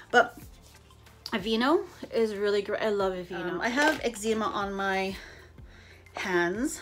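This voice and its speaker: A woman's medium-pitched voice with ordinary pitch variation, long and frequent pauses, and music in the background. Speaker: beauty vlogger. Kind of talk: casual chat. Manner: fast.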